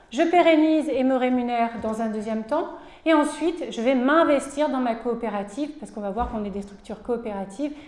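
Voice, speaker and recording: A woman talks at a high pitch, her pitch varying in an ordinary way. Her loudness swings widely, and the room echo is audible. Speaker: cooperative support worker. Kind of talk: conference presentation. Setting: conference with audience.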